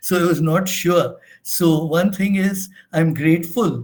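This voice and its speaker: With audible room echo around him, a man speaks in a high voice with fairly even intonation. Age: 70s. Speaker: research methodology trainer. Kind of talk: lecture. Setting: online session. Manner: halting.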